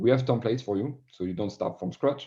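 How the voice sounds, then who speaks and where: A man speaks with a French accent in a dark, mellow tone. The background is quiet. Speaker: sales director. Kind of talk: podcast interview.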